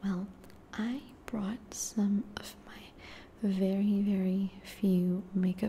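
Light background noise behind a woman's voice. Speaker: ASMR creator playing a friend. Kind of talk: ASMR roleplay.

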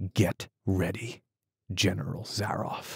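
A man's put-on character voice, hoarse and raspy, very deep and low in pitch, at a fairly slow pace, with a dry, close sound and no echo.

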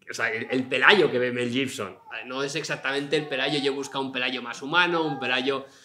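Noticeable background noise can be heard. Over it, a man talks with fairly even intonation. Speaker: novelist; interviewee. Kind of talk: public interview before audience. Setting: stage with live audience. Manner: talkative, fast. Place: hall.

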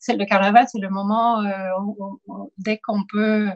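A woman speaks at a very slow pace in a fairly high, somewhat breathy voice. The sound is dry and close, with no echo. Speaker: professor, moderator. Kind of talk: interview. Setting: video call. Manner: halting.

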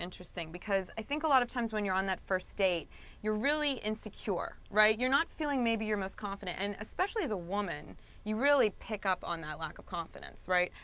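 At a very fast pace, a woman speaks with a bright, sharp tone and lively intonation. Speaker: guest, magazine co-creator. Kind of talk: interview answer. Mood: upbeat, playful, laughing. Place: studio. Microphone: lapel.

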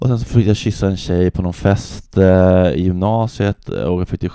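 Over a quiet background with a dry sound and no echo, a man talks at a fairly slow pace in a very deep, low voice with a dark, mellow tone. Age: 30s. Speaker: comedian. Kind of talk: casual chat. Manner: halting. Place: home room. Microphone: handheld.

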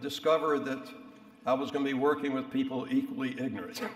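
Audible room echo surrounds this man's voice. He talks at a fairly quick pace. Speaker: speaker. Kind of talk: after-dinner speech. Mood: wry, reminiscent. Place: hall. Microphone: podium.

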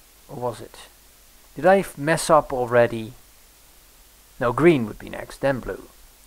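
Against noticeable background noise, a man speaks at a fairly slow pace with lively intonation. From Europe. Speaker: gaming let's play host. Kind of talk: let's play commentary. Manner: animated, with frequent fillers.

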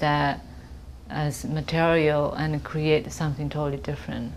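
Over light background noise, a woman speaks at a fairly slow pace with a Japanese accent. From Japan (Kobe). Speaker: photographer. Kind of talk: artist interview monologue. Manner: hesitant, many fillers. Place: office.

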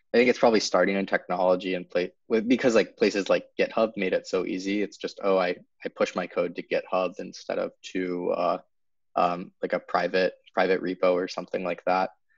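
A man with an American accent at a fairly quick pace, dry sound with no echo. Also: quiet background. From US Northeast (New Hampshire). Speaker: startup cofounder; guest. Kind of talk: casual interview. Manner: halting, many fillers and repeats. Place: home room.

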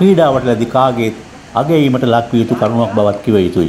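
The man speaks at a fairly slow pace with lively intonation. Noticeable background noise is present. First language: Sinhala. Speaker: news narrator. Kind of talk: scripted news narration.

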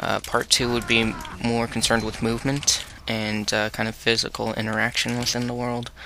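There is noticeable background noise as a man speaks at a moderate pace. His medium pitch holds a monotone, flat intonation. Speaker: gaming video maker. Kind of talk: live gameplay commentary. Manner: halting, filler-heavy; quiet, soft-spoken.

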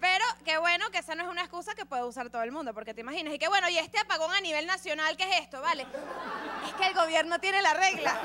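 A woman projecting her raised voice at a very fast pace over crowd noise. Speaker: comedian. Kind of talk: stand-up comedy monologue. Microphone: studio mic.

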